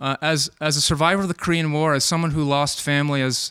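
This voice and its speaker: An ordinary speaking voice with an American accent, moderate pace and fairly even intonation, in a dry, close sound with no echo. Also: man. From Maryland, Takoma Park. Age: 40s. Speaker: doctor. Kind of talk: testimony.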